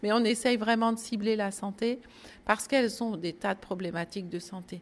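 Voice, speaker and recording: A woman keeps a moderate pace and fairly even intonation as she speaks. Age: 60s. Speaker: retired nurse and volunteer. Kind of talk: testimony. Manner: hesitant, with fillers and repetitions.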